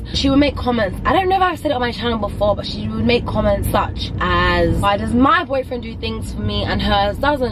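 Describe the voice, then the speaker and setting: A woman keeps a moderate pace while noticeable background noise carries on around her. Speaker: vlogger. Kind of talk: casual vlog chat. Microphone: phone near.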